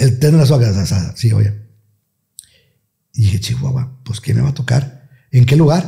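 Against a quiet background, a man talks at a moderate pace with ordinary pitch variation and long, frequent pauses. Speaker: radio announcer. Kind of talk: interview answer. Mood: relaxed, reminiscing. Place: studio. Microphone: studio mic.

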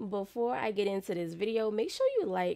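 A woman speaks in an animated tone. The background is quiet. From United States. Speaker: YouTube reaction creator. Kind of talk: casual reaction commentary. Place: home room. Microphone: studio mic.

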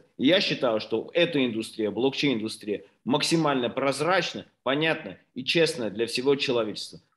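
A man speaks at a moderate pace with a medium pitch and lively intonation. The background is quiet. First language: Russian (speaking Spanish). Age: 40s. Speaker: company CEO. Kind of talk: business presentation. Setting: video call. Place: home room. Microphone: video call.

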